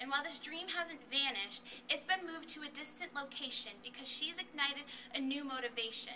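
A woman with a high voice speaks at a fairly quick pace in a raised, projected voice. Her pitch varies in an ordinary way over light background noise. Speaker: student poet. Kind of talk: spoken word performance. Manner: rhythmic. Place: hall. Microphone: camera far.

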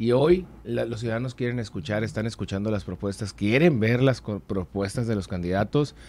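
The pace is moderate. The man's pitch variation is ordinary. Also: fairly low pitch for a man, hardly any pauses. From Mexico, Sonora (Hermosillo); Sonora. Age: 30s. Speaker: political candidate; candidate. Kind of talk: interview. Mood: earnest, persuasive. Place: studio. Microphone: studio mic.

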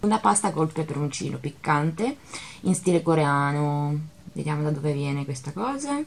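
Somewhat breathy, a woman speaks in a very deep, low voice. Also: ordinary pitch variation, moderate pace. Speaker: vlogger. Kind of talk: casual vlog chat. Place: kitchen. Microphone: phone near.

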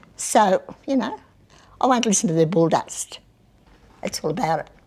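Speaking with an Australian accent, a woman keeps a moderate pace. Her intonation is lively. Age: 80s+. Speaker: mayor. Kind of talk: interview. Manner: outspoken. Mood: feisty, blunt, humorous. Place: meeting room. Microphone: lapel.

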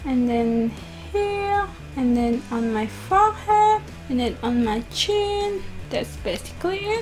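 A woman speaks at a very slow pace while music plays clearly in the background. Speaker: beauty vlogger. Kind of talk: makeup tutorial chat. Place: home room. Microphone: camera far.

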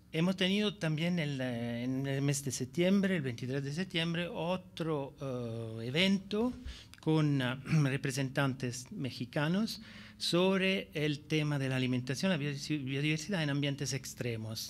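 The speech moves at a very slow pace. Pitch varies in an ordinary way. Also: man, fairly high pitch for a man. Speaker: biodiversity policy expert. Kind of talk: conference presentation. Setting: stage with audience. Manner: halting, many fillers. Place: hall. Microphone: podium.

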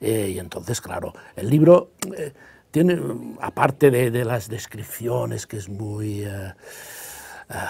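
A man with a Catalan accent speaks at a very slow pace, leaving long, frequent pauses. His somewhat breathy, dark, mellow tone carries lively intonation and big swings in loudness. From Catalonia, Spain. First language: Catalan (speaking Spanish). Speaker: novelist; guest. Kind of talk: interview. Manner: hesitant, many fillers. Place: studio. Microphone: lapel.

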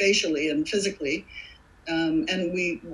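A woman is talking. Her pace is fairly slow. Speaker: actress. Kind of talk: interview answer. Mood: warm, thoughtful. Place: home room. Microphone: webcam.

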